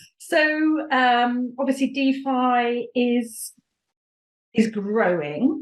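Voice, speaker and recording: A somewhat breathy woman with a British accent. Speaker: podcast host. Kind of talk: interview.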